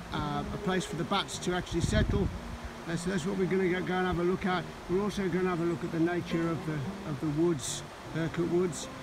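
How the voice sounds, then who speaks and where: A very fast pace over noticeable background noise. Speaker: nature walk vlogger. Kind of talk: casual vlog chat. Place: waterside. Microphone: phone near.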